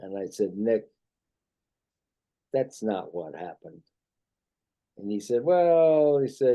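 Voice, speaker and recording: Delivery is very slow, with big swings in loudness and long, frequent pauses. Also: man, medium pitch for a man. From China. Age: 80s+. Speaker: army doctor and war veteran. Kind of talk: interview. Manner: halting.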